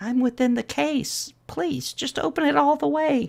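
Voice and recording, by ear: Pitched extremely high, a man performs a put-on character voice. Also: moderate pace.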